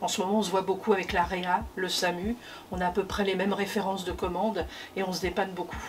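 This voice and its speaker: Very fast and monotone, a woman with a medium pitch speaks in flat intonation over noticeable background noise. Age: 60s. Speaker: hospital logistics worker, former nursing assistant. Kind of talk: workplace testimony interview. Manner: hesitant, many fillers.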